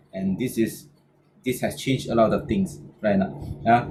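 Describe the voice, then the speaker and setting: A man speaks at a fairly slow pace in a medium-pitched, somewhat breathy voice with a dark, mellow tone. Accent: Malaysian. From Malaysia, Penang. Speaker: business trainer. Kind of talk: motivational talk. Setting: online video session. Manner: halting, many fillers and repetitions.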